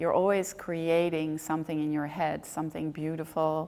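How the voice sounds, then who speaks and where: A woman's very deep, low voice, monotone and flat, at a fairly slow pace. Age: 60s. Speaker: ballet director and choreographer. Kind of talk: interview. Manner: hesitant, many fillers.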